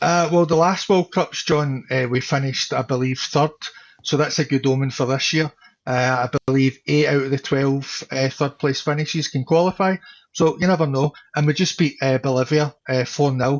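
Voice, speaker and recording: With a Scottish accent, a man speaks at a moderate pace in a fairly high pitch, his intonation fairly even and his loudness very even. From Scotland. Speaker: content creator. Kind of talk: casual chat. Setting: live stream.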